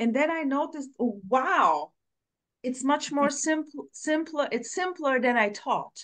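A woman at a fairly slow pace, with lively intonation. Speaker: group session participant. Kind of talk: casual chat. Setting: video call.

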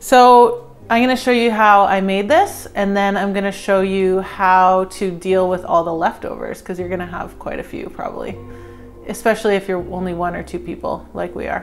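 A woman talks at a moderate pace while music plays faintly behind her. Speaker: cooking channel host. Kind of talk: tutorial. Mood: warm, cheerful, laughing. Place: kitchen. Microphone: lapel.

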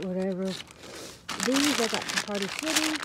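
Loud background noise fills a dry recording with no echo. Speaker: vlogger sorting dumpster finds. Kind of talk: casual vlog chat. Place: garden. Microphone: phone near.

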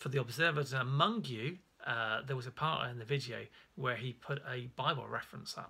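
A man speaks with a bright, sharp tone. His voice carries some vocal fry. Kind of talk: casual religious teaching talk. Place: home room. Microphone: phone near.

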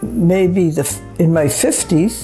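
A woman speaks at a fairly low pitch. Faint music plays in the background. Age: 80s+. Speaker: grandmother giving advice. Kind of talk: interview answer. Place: home room.

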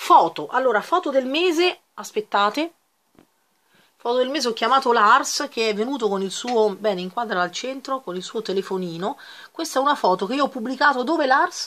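A woman's high, bright and sharp voice with lively intonation at a moderate pace. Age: 40s. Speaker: YouTuber. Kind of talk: casual vlog chat. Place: home room. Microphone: webcam.

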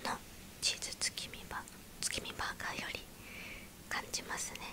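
Soft-spoken whispering comes at a fairly slow pace over noticeable background noise. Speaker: food reviewer. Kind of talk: casual food review chat. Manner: soft whispered ASMR food commentary. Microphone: phone near.

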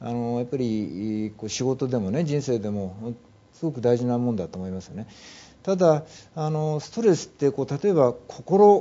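A man at medium pitch and moderate pace, with lively intonation and big swings in loudness. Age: 50s. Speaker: mental health management consultant; guest. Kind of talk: interview. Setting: studio. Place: studio. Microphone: lapel.

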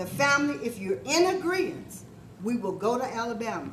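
The pitch swings very widely at a moderate pace. Noticeable background noise runs underneath. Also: woman. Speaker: family member. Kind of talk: casual family reunion talk. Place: hall. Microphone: camera far.

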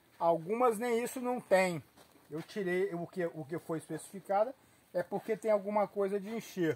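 The man's high-pitched voice shows ordinary pitch variation. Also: moderate pace. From Nova Venécia, Espírito Santo, Brazil; Espírito Santo, Brazil. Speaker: desert rose grower. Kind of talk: casual on-site interview. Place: farm machine. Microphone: phone near.

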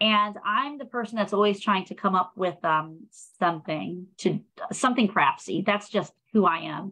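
A woman with an American accent talks at a moderate pace. Her tone is bright and sharp. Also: medium pitch for a woman, ordinary pitch variation. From Prince George's County, Maryland; Maryland. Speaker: nonprofit public relations specialist; program host. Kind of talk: live-streamed panel discussion. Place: home room. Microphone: video call.

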